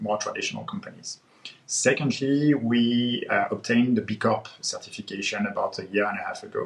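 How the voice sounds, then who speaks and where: At a fairly quick pace, a man talks with noticeable background noise around him. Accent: French. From France. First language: French. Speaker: head of growth marketing. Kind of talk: panel discussion. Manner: hesitant, many fillers.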